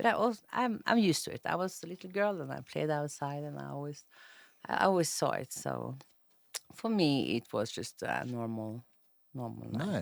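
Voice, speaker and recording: A woman with a Norwegian accent at a moderate pace, with big swings in loudness. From Norway, north (Tromsø). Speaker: interview guest. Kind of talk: casual interview chat. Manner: halting.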